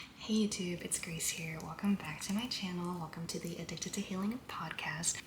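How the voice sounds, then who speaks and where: A woman speaks quietly in an American accent, with a fairly low pitch and fairly even intonation at a moderate pace, over noticeable background noise. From US South, Louisiana. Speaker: podcaster. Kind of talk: casual monologue vlog. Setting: Airbnb room. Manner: quiet, low volume.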